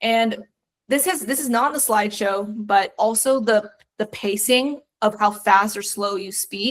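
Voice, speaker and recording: Her voice is an unremarkable speaking voice, fairly high for a woman, moving at a moderate pace with ordinary pitch variation. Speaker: career coach. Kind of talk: online class.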